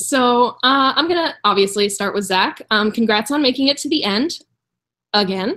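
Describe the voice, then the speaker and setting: On a very clean recording with a silent background, a woman with a high pitch and a bright, sharp tone speaks at a moderate pace with lively intonation. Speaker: online game juror. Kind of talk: question and answer.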